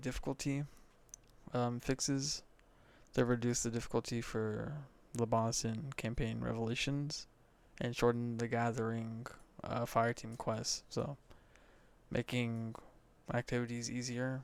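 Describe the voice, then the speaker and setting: Soft-spoken and monotone, a man of medium pitch speaks with long, frequent pauses in a very clean recording with a silent background. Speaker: gaming content creator. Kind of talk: casual commentary on patch notes. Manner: quiet, soft-spoken; hesitant with fillers.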